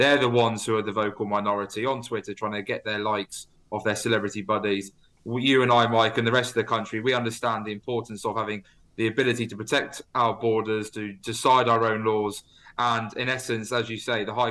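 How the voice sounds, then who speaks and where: A man at medium pitch talks at a fairly quick pace. His intonation is monotone and flat. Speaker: politician. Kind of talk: radio interview, political discussion.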